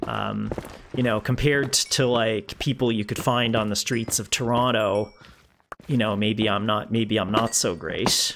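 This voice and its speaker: A man with a Canadian Maritime accent speaks at a fairly slow pace, his medium pitch carried in fairly even intonation. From Canada, rural Prince Edward Island (Maritimes). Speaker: gaming streamer. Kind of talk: casual live-stream chat. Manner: hesitant, many fillers.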